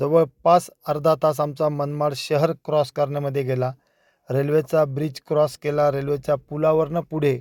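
A man's fairly high voice, monotone and flat in intonation, with a dry, close sound and no echo. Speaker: vlogger. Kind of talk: travel vlog narration. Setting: in a car.

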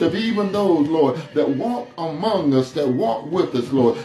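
A man speaks at a fairly slow pace, his pitch swinging very widely. The room echo is audible, with light noise in the background. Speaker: pastor. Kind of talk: sermon. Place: empty room.

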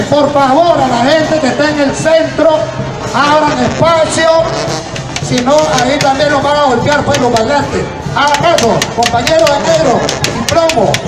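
A man at a fairly slow pace, music in the background. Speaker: event announcer. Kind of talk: commentary. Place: street.

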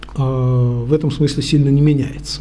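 This is a man speaking. His pace is fairly slow. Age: 50s. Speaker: university lecturer and researcher; university lecturer. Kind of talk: lecture. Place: meeting room. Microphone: podium.

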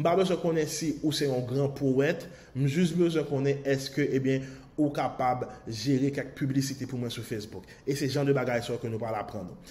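Fairly high male voice amid noticeable background noise. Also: ordinary pitch variation, fairly slow pace. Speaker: online marketing course promoter. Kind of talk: sales pitch.

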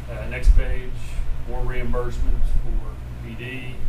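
Loud background noise accompanies a man's voice. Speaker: school official reviewing purchase orders. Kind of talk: meeting report. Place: meeting room. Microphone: camera far.

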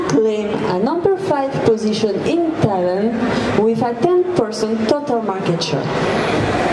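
Loud background noise fills the recording. The voice belongs to a woman. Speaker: presenter. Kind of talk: press conference presentation. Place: hall. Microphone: handheld.

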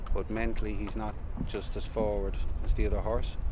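A man talks at a moderate pace, the sound dry with no echo and the background noise noticeable. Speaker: racehorse trainer. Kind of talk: interview answer. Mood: calm, measured. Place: stadium.

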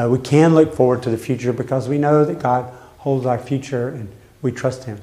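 Speaking at a moderate pace with long, frequent pauses, a man keeps a medium pitch and fairly even intonation. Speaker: Bible study leader, church pastor; church pastor. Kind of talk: Bible study lesson with group discussion. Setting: church classroom with group. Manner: conversational, interactive. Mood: calm, reflective. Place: church. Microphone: camera far.

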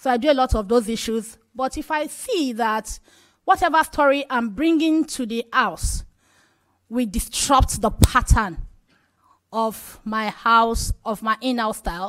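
A woman with a Nigerian accent speaks at a fairly slow pace. Her intonation is lively, set against a quiet background. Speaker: radio journalist, health advocate; radio journalist. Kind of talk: panel discussion. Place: hall. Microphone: podium.

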